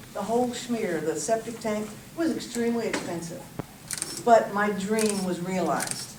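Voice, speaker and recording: Speaking at a medium pitch, a woman has a Southern US accent. Audible room echo and noticeable background noise surround her. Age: 60s. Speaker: resident speaking at public hearing. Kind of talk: public comment testimony.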